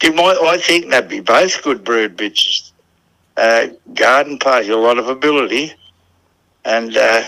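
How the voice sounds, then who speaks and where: In a strong Australian accent, a man speaks at a fairly slow pace with long, frequent pauses. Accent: broad Australian. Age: 80s+. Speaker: greyhound trainer. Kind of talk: casual interview. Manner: halting.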